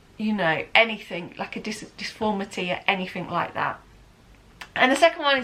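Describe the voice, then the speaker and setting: A woman with a southern English accent speaks at a moderate pace, her fairly high voice bright and sharp in tone with ordinary pitch variation. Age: 30s. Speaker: lifestyle vlogger. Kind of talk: casual chat. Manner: casual and rambling, with frequent fillers.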